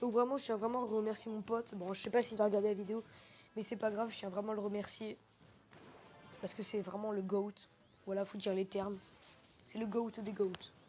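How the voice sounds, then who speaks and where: With music in the background, a woman talks at a fairly quick pace in a fairly high pitch, her intonation monotone and flat, with long, frequent pauses. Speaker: gaming youtuber. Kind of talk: gameplay commentary. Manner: fast; hesitant, many fillers.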